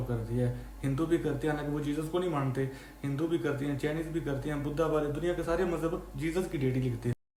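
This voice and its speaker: Through noticeable background noise and audible room echo, a man with a fairly high pitch speaks at a moderate pace with fairly even intonation. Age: 30s. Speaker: YouTuber. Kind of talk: casual explainer monologue. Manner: conversational, with fillers and self-corrections.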